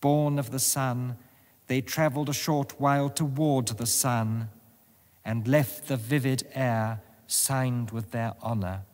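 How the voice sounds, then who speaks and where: A man's ordinary speaking voice at medium pitch, fairly slow and fairly even in intonation, in a very clean recording with a silent background. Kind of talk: poetry reading.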